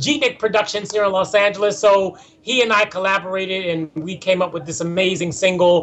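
Over noticeable background noise, a man with an American accent and a high pitch talks at a fairly quick pace with hardly any pauses and ordinary pitch variation. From Philadelphia. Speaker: actor and singer. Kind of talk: interview. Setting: video call.

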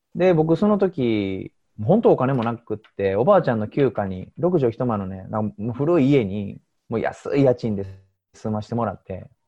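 At a moderate pace and medium pitch, a man's voice swings widely in both pitch and loudness. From Osaka, Japan. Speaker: diet coach. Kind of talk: interview.

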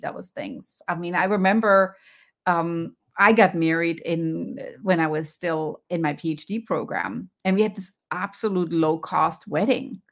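A woman speaks with a German accent at a fairly slow pace and with ordinary pitch variation. The recording is very clean, with a silent background. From Germany. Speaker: professor and wellness coach. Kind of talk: interview. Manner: animated.

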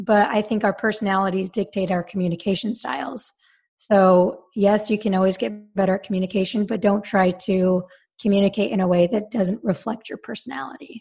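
The speaker talks at a fairly quick pace with an American accent. The intonation stays fairly even. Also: woman, medium pitch for a woman. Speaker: confidence and mindset coach for female athletes. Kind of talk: casual interview. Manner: soft-spoken, does not yell.

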